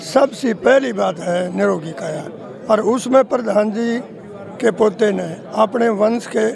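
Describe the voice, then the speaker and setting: A high-pitched male voice with ordinary pitch variation is heard against crowd noise in the background. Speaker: village elder. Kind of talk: street interview.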